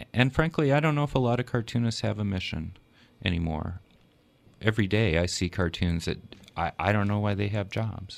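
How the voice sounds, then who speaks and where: A man speaks in a plain, everyday voice. He talks at a fairly quick pace with lively intonation. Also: fairly low pitch for a man. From Minnesota, US Midwest. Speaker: editorial cartoonist. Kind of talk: radio interview. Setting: studio.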